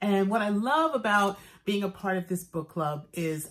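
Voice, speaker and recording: A woman speaks at a fairly slow pace with an American accent. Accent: New York accent, comes out occasionally. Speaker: actor, book reviewer. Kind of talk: book review vlog. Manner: casual, chatty with fillers.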